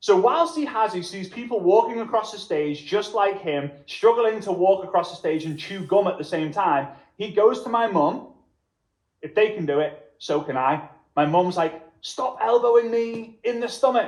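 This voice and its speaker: A man's high voice with lively intonation. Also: moderate pace. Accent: Liverpool. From Liverpool, England. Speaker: network marketing trainer. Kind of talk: motivational workshop presentation.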